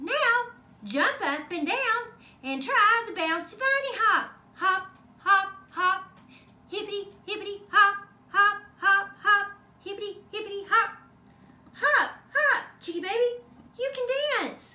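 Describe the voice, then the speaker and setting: An extremely high pitch at a fairly slow pace, with long, frequent pauses. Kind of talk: bedtime story. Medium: read story. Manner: sing-song, rhythmic, playful.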